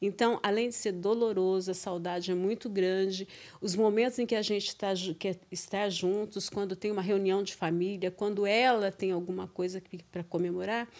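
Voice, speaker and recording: A woman talks at a moderate pace, her medium-pitched voice held in a monotone, flat intonation. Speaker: teacher, mother of co-host. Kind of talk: casual interview. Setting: studio.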